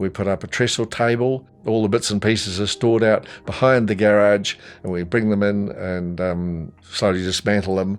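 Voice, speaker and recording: With a New Zealand accent, a man of fairly low pitch speaks at a moderate pace with fairly even intonation and hardly any pauses. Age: 80s+. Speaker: retired telephone technician, electronics recycler. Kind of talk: interview monologue. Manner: halting, many fillers.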